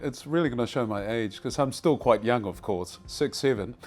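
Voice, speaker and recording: With music in the background, a man's voice sits at a medium pitch. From Tonga, raised in South Auckland, New Zealand. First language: Tongan. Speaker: broadcaster. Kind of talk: casual chat. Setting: TV newsroom. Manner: relaxed, many filler words.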